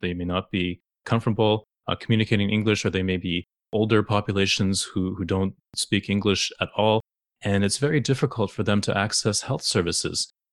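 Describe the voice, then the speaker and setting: A man's plain, everyday voice, fairly low in pitch, at a fairly quick pace with fairly even intonation, dry and close with no echo against a quiet background. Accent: Canadian. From Canada, Toronto. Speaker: endocrinologist. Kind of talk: interview.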